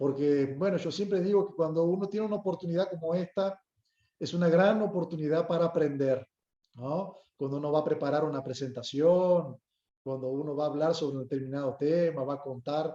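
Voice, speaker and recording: Using a northern Uruguayan accent, a man with a fairly high pitch speaks at a fairly quick pace. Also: ordinary pitch variation. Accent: Uruguayan with Brazilian border tone. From Brazil, Uruguayan parents. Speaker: lawyer and guest lecturer. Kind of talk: lecture. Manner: formal, polite.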